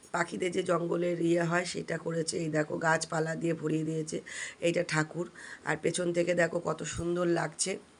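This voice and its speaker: Here a woman speaks at a fairly low pitch. Her intonation is monotone and flat. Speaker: vlogger. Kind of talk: vlog narration. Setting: outdoors.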